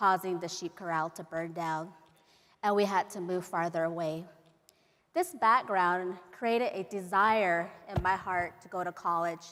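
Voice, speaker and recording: At a fairly slow pace, a woman speaks with a medium pitch and fairly even intonation. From Navajo Nation, Arizona. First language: Navajo. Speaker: professor. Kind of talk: keynote speech.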